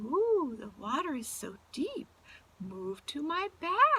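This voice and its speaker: In a put-on character voice, a woman speaks at a very slow pace with a high pitch and very wide pitch swings. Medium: read story. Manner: crooning, sly.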